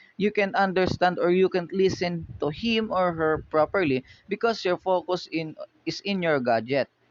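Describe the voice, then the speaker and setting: A man with a Filipino accent speaks fairly slowly, his high pitch carried by lively intonation. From Philippines. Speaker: university student. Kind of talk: class presentation. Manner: halting.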